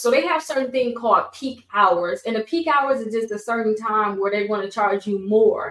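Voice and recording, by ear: Her fairly high pitch and fairly bright tone mark this woman's speech, which has ordinary pitch variation.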